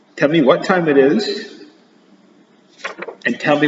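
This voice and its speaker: There is noticeable background noise and audible room echo as the man talks. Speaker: teacher. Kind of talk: recorded math lesson for pupils. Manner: switching between English and Spanish.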